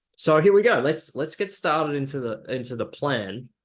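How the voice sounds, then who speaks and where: Over a quiet background, a man with an Australian accent talks at a moderate pace. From Australia, Brisbane. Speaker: digital marketing agency founder. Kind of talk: webinar presentation. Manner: hesitant, many fillers.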